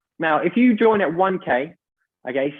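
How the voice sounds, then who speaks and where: The voice belongs to a man. He uses lively intonation. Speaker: presenter of a business opportunity. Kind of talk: online sales presentation. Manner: fast.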